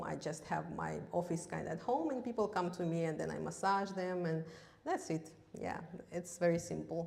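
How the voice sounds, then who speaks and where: A woman speaks at a fairly low pitch with ordinary pitch variation, with audible room echo and noticeable background noise. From Russia, Yakutia. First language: Russian. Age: 30s. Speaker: massage therapist giving seminar. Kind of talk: seminar talk. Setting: stage with audience, live stream. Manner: halting, many fillers.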